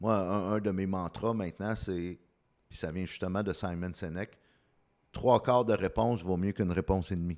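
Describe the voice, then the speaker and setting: A man with a very deep, low voice keeps a moderate pace and fairly even intonation, captured in a very clean recording with a silent background. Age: 50s. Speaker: communication coach. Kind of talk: interview.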